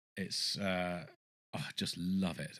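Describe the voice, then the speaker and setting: A man with an English accent talks at a fairly slow pace in a very clean recording with a silent background. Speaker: record collector youtuber. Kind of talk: casual show-and-tell of records. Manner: halting, many fillers; enthusiastic.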